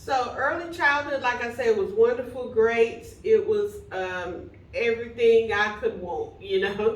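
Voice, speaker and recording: A high-pitched woman with a Texan accent, hardly any pauses. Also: lively intonation, fairly slow pace. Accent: Texan Southern American English. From Plano, Texas. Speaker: minister and bishop. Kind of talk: interview answer.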